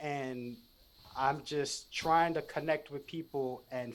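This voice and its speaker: A man with a New York accent speaks at a very slow pace. His voice is fairly high in pitch. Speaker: podcast guest, spiritual content creator. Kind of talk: casual interview chat. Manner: loud and excited; animated, halting with restarts.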